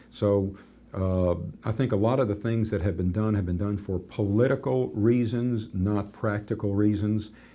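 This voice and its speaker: At a moderate pace, a man speaks in a fairly low voice with a dark, mellow tone and ordinary pitch variation. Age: 60s. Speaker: political candidate. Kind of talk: interview. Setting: panel interview.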